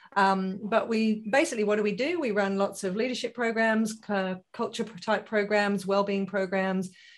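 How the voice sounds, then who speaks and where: A woman with an English accent speaks at a moderate pace with hardly any pauses. Her medium-pitched voice has fairly even intonation. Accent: English accent noticeable. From UK. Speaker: positive psychology consultant and business founder. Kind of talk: interview.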